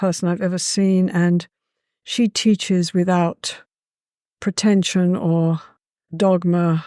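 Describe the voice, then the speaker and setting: A woman talks at a very slow pace, her pitch medium and her tone dark and mellow. The recording is very clean with a silent background and a dry, close sound with no echo. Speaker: psychologist, therapy pioneer. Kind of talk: casual interview chat. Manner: animated.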